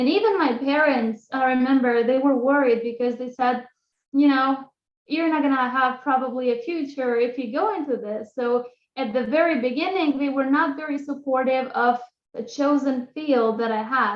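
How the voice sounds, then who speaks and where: With an Albanian accent, a woman speaks in a high pitch at a moderate pace, using ordinary pitch variation. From Kosovo. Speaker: graduate student. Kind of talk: lecture. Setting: video call.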